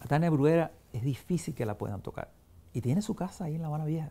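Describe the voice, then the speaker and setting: A man's very fast, lively-toned delivery, dark and mellow in tone and somewhat breathy. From Cuba, Havana; Cuba. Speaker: film critic and journalist; journalist. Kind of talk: interview. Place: home room. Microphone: lapel.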